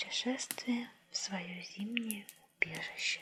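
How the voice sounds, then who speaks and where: Over noticeable background noise, a woman talks at a very slow pace and a fairly high pitch, with fairly even intonation. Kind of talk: audiobook-style story reading, ASMR. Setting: cozy indoor reading with crackling fireplace sounds. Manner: soft-spoken, calm, measured.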